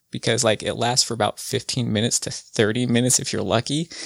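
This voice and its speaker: Dry and close with no echo, a man speaks in an ordinary speaking voice at medium pitch with fairly even intonation. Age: 30s. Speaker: cannabis patient, software developer. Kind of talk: casual interview.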